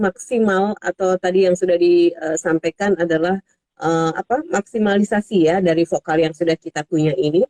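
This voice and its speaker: A woman speaks at a moderate pace with ordinary pitch variation in an unremarkable speaking voice, the sound dry and close with no echo. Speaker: radio host. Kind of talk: radio talk show interview.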